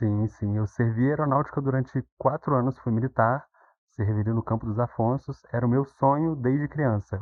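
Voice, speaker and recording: Medium pitch from a man, moderately paced, pitch varying in an ordinary way. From Minas Gerais, Brazil. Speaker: psychology graduate, former military, IT worker. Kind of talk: podcast interview.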